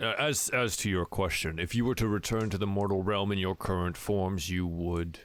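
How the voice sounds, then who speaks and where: A man's put-on character voice, fairly low in pitch, at a moderate pace, on a very clean recording with a silent background. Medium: actual play. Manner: formal, grave.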